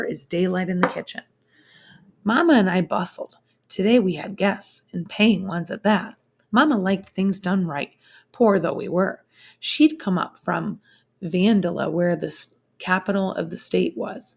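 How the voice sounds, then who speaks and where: A woman's raspy, put-on character voice at medium pitch and a moderate pace, on a very clean recording with a silent background. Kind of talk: classroom read-aloud. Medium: read story.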